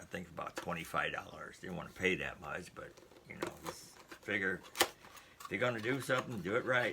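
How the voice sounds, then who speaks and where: Noticeable background noise sits behind a man whose fairly low voice shows ordinary pitch variation and big swings in loudness. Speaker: YouTuber doing product unboxing. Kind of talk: casual unboxing video. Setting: indoors at home. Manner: fast.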